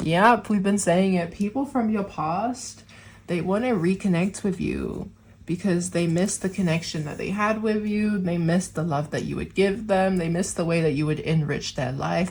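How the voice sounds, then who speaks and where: A woman with a fairly low, somewhat breathy voice speaks at a moderate pace with ordinary pitch variation. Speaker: tarot reader. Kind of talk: tarot reading to camera. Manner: casual, chatty.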